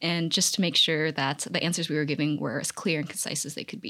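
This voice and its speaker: A woman with a plain, everyday voice talks at a fairly quick pace with ordinary pitch variation, in a very clean recording with a silent background. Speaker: college student, math major. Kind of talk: casual interview.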